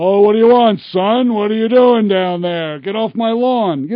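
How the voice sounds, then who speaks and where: Moderate speed and fairly high pitch in a put-on character voice. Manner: gruff, irritable.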